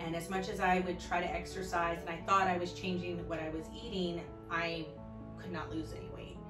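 Clear music plays in the background as a woman speaks. She has an American accent and keeps a moderate pace. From Orlando, Florida. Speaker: fifth grade teacher. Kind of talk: patient testimonial to camera. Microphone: phone near.

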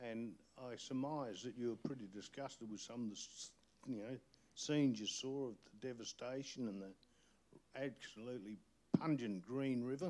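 This man talks at a moderate pace with ordinary pitch variation and an Australian accent. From outback New South Wales. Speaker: community activist. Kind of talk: panel discussion. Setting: stage with audience. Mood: angry, indignant. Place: hall. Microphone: handheld.

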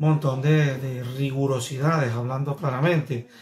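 A man speaks at a fairly slow pace with a fairly high pitch, ordinary pitch variation, and light background noise. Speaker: vlogger, celebrity news commentator. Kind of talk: casual talk to camera, vlog commentary. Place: home room.

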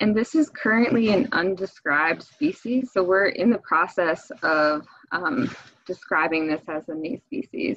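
A woman with an American accent speaks fairly slowly, her pitch swinging very widely. The sound is dry with no echo over a quiet background. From Michigan. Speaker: fisheries biologist. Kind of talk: webinar presentation. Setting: video call. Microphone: video call.

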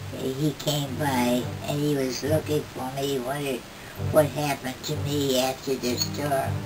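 This is a woman with a very deep, low pitch. There is noticeable background noise. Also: fairly slow pace. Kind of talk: interview answer. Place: home room. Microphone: camera far.

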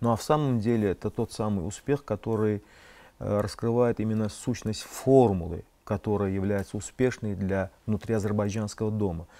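A man's dark, mellow voice with fairly even intonation. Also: fairly low pitch for a man, moderate pace. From Azerbaijan. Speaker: political scientist; guest. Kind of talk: TV studio interview. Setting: TV studio. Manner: formal. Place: studio. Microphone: lapel.

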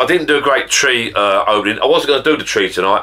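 A man talking at a very fast pace over a quiet background. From Essex, England; England. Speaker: YouTuber. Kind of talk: casual vlog to camera. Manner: chatty, rambling. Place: home room. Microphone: camera far.

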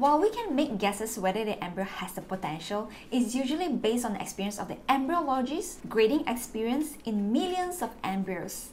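A woman talks at a fairly quick pace with very wide pitch swings and hardly any pauses, over light background noise. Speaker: fertility vlogger sharing experience. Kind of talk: informative vlog talk. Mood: warm, encouraging. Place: home room.

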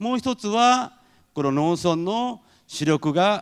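A man's pitch swings very widely as he talks against a quiet background. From Japan. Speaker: head of an international exchange association; speaker. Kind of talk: lecture. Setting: stage with audience. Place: hall. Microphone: handheld.

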